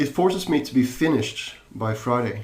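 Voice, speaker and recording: A man's lively intonation amid audible room echo. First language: not English. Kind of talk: podcast interview. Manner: halting, many repetitions and fillers.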